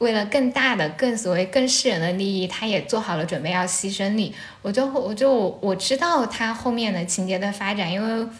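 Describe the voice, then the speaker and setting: A woman at medium pitch and moderate pace with ordinary pitch variation, audible room echo and noticeable background noise. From Anhui, Shucheng (Lu'an). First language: Anhui dialect (Jianghuai Mandarin) (speaking Chinese). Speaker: podcast host. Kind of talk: casual chat. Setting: at home, sitting on the floor.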